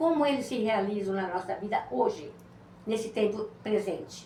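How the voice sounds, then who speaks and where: Over noticeable background noise, a woman talks at a fairly slow pace with a fairly high pitch and lively intonation. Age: 70s. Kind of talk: interview testimony. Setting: podcast.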